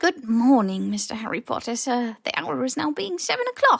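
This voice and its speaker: A put-on character voice, female-sounding and squeaky, with a fairly high pitch. The pace stays moderate. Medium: read story. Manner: servile, broken grammar.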